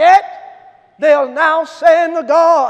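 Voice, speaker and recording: Shouting in an extremely high pitch, a man speaks with an animated tone over a quiet background. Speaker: preacher. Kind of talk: sermon. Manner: animated, impassioned preaching. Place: church.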